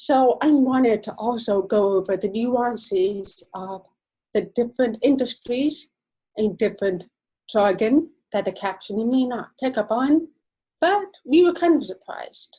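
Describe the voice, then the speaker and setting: The voice has a dark, mellow tone and lively intonation, moving at a fairly slow pace. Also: woman, fairly high pitch for a woman. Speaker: accessibility specialist. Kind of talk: presentation.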